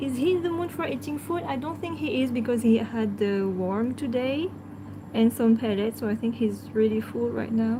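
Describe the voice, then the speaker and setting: A woman with a French accent speaks at a moderate pace in a fairly high pitch, her intonation lively over noticeable background noise. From France. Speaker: pet channel host. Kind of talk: live stream chat. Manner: halting.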